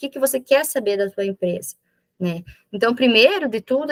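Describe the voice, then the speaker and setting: The sound is dry and close, without any echo. A woman talks at a moderate pace, her pitch varying in an ordinary way. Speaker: business consultant facilitator. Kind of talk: online workshop presentation. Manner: halting self-corrections.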